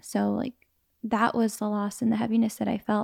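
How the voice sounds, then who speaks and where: A woman's dark, mellow tone sits at a fairly high pitch. The recording is very clean and silent behind her, with a dry, close sound and no echo. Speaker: podcast co-host. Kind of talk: casual chat. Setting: at home on a couch. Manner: laughs often.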